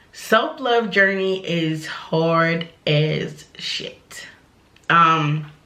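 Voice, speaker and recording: A woman with a fairly low voice and ordinary pitch variation speaks at a very slow pace, with audible room echo. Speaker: vlogger. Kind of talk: casual vent to camera. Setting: at home. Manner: casual, candid.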